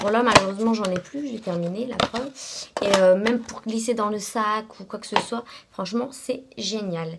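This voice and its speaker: The speaker talks at a moderate pace with ordinary pitch variation and big swings in loudness. Noticeable background noise runs underneath. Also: woman, fairly high pitch for a woman. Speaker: beauty vlogger. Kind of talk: casual product review vlog. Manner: hesitant, many fillers.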